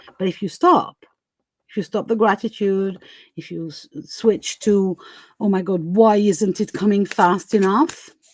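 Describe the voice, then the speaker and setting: With a non-native accent, a woman speaks at a medium pitch and fairly slow pace, her pitch variation ordinary and her loudness swinging widely. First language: not English. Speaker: tarot reader. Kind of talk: live stream tarot reading. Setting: live stream. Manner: halting, many fillers.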